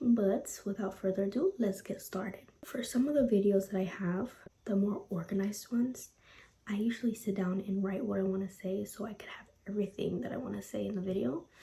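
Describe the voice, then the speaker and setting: A woman speaks quietly at a medium pitch with ordinary pitch variation. Her pace is fairly quick. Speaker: motivational vlogger. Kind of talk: casual motivational talk. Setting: at home at night. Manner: quiet, lowered voice.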